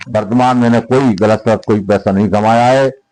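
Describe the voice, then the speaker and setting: A man speaks at medium pitch in a dark, mellow tone. His intonation stays fairly even. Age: 70s. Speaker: local politician. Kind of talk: interview.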